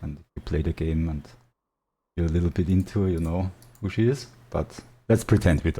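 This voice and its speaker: This man has a very deep, low voice with a dark, mellow tone, a somewhat breathy quality and ordinary pitch variation. He speaks with a non-native accent on a very clean recording with a silent background. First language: not English. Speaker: gaming YouTuber. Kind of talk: unscripted game story narration. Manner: halting, many fillers; casual, improvised.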